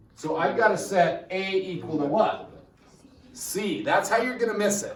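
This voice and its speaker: A man's high-pitched voice at a fairly slow pace, with lively intonation, noticeable background noise and audible room echo. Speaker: high school math teacher. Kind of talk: classroom lecture. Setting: classroom with students.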